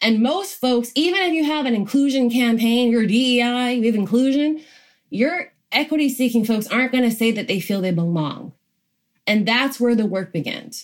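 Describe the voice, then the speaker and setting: A woman's high-pitched voice with an American accent, lively intonation, moderate pace and very even loudness. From US South (Georgia). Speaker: diversity and inclusion consultant. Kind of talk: interview.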